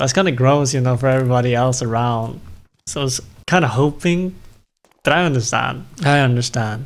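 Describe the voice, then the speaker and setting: A man speaks with a non-native accent at a moderate pace. His pitch is medium. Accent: non-native English accent, self-noticed. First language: not English. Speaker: streamer playing video games. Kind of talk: casual live-stream chat. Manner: casual, rambling with self-corrections.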